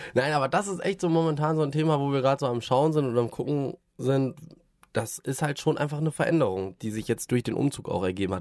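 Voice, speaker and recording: A man with an unremarkable speaking voice uses lively intonation. The recording is very clean, with a silent background. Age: 30s. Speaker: podcast host, father of a toddler. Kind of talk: casual chat.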